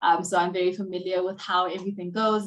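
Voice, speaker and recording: A woman's voice over a quiet background. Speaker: software engineering student, panelist; panelist. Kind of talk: virtual panel discussion. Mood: cheerful, smiling. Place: home room. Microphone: video call.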